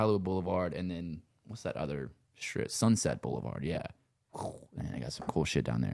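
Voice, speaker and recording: A man speaks with a very deep, low pitch and vocal fry. Long, frequent pauses break up his speech. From Louisiana, Cajun country around Lafayette. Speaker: sound engineer and musician. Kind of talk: casual chat. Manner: relaxed, rambling with many fillers.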